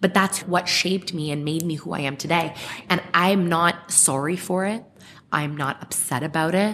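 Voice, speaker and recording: Noticeable background noise behind moderately paced speech in a fairly even intonation. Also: woman, fairly low pitch for a woman. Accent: Canadian. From Ontario, Canada (Clarkson, Mississauga). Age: 30s. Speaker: podcast guest. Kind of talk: casual interview.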